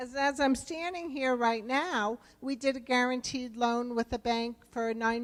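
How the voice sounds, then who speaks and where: The speaker has a New Jersey accent and keeps a moderate pace. Pitch variation is ordinary. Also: woman. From New Jersey, US East Coast. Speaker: rural development program official. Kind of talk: conference presentation.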